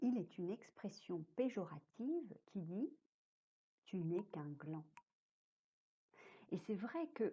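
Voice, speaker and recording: With a dark, mellow tone and a somewhat breathy quality, a woman speaks at a very slow pace with lively intonation and long, frequent pauses. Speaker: storyteller. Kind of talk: read story. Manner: whispered, soft.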